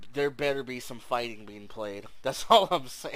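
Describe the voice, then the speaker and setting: Using an unremarkable speaking voice, a man talks at a medium pitch and moderate pace. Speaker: podcast host and trading card game commentator. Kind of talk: casual chat. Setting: video call. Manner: casual, upbeat.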